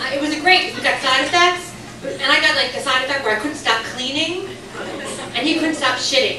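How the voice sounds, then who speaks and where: A woman's high, raised and projected voice at a fairly quick pace, with lively intonation over noticeable background noise. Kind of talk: stand-up comedy set to a live club audience. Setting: comedy club with audience laughter. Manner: fast, sarcastic, crowd-interactive.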